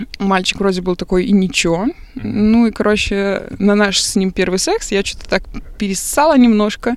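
This woman has an unremarkable speaking voice at a medium pitch. She talks at a moderate pace with ordinary pitch variation. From Belarus, Minsk. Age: 20s. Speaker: podcast guest. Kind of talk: casual chat.

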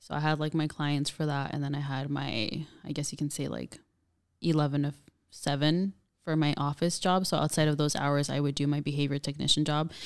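A woman with a very deep, low pitch and an American accent, fairly quick and monotone with flat intonation, on a very clean recording with a silent background. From Southern California. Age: 20s. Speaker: youth outreach supervisor. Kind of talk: casual interview.

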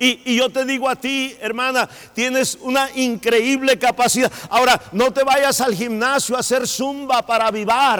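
At a fairly slow pace and with hardly any pauses, a man speaks in an extremely high pitch with monotone, flat intonation. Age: middle-aged. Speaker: pastor. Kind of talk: sermon.

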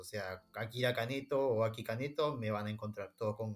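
A man talks in a Rioplatense accent. His pitch is medium and his pace moderate. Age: 30s. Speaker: film and anime fan. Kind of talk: casual chat.

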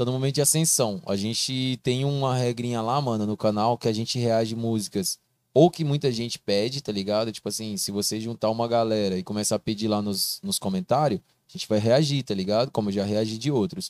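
Recorded very cleanly against a silent background, a man with a normal speaking voice talks at a fairly quick pace and a medium pitch, with ordinary pitch variation and a dry, close sound with no echo. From Mato Grosso, Brazil (Barra do Garças). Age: 20s. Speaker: video creator and TV voice of a football club. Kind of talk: casual podcast chat.

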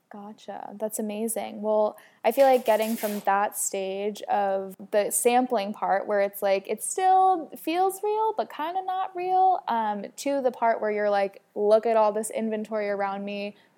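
A woman uses an ordinary speaking voice with lively intonation. She goes at a fairly slow pace with hardly any pauses. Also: fairly high pitch for a woman. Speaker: podcast host and swimwear brand founder. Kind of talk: casual interview chat. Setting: in person, downtown Los Angeles.

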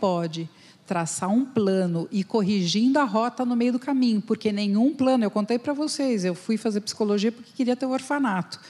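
Dark and mellow in tone, a woman's somewhat breathy voice carries lively intonation. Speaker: company founder, HR consultant. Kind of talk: panel discussion. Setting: stage with audience.

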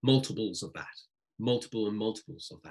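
Talking at a very fast pace, a man with a British accent keeps his intonation fairly even. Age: 40s. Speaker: sales coach and speaker. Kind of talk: interview.

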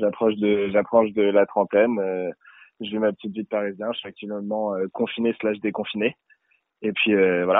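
At a moderate pace, the speaker uses a monotone, flat intonation broken by long, frequent pauses. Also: man, fairly low pitch for a man. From Paris suburbs, France. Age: 20s. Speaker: rapper. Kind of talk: interview. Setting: phone call. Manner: casual, hesitant with many fillers.

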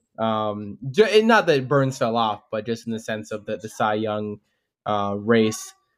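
A man's unremarkable speaking voice, medium in pitch with ordinary pitch variation, fairly slow, with big swings in loudness. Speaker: podcast co-host. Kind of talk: casual sports chat.

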